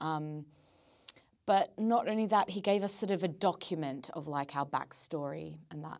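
A woman's voice sits at a very deep, low pitch with ordinary pitch variation. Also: moderate pace. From Australia. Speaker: actor. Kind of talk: casual podcast interview.

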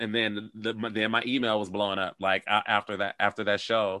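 This man has an American accent and an unremarkable speaking voice. His pitch is fairly low and his intonation fairly even. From Detroit, US. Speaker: choreographer and actor. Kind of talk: casual interview chat. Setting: video call.

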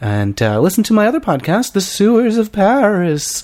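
Using a put-on character voice, a man speaks at a high pitch. His pace is moderate. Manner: spooky, eerie.

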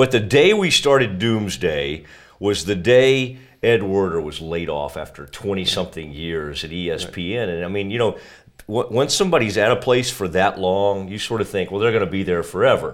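A man's normal speaking voice, fairly low in pitch, at a moderate pace with lively intonation. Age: 40s. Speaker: sports journalist and podcaster. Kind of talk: casual interview.

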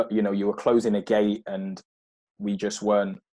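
A man speaks in a South London accent with a fairly low pitch. His intonation is monotone and flat, at a moderate pace. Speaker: former footballer. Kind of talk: interview. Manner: halting.

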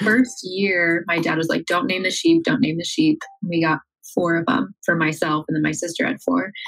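A woman with an American accent talks at a moderate pace, her intonation lively. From rural Iowa, US Midwest. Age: 20s. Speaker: social media manager. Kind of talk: interview conversation.

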